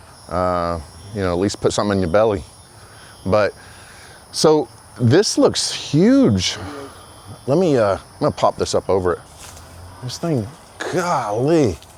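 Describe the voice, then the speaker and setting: Amid noticeable background noise, a man with an American accent and medium pitch talks at a fairly slow pace with long, frequent pauses and very wide pitch swings. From Florida. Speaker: street interviewer, video creator. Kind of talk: casual street interview. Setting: outdoors.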